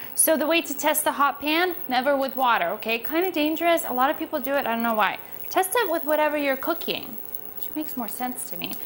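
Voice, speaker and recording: Lively intonation and big swings in loudness come from a woman with a high pitch. She talks at a very fast pace against light background noise. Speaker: cooking host. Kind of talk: tutorial. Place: kitchen. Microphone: lapel.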